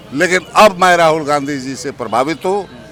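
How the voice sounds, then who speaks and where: A man is talking, his pitch varying in an ordinary way. Music can be heard behind him. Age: 60s. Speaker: political activist. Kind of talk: interview.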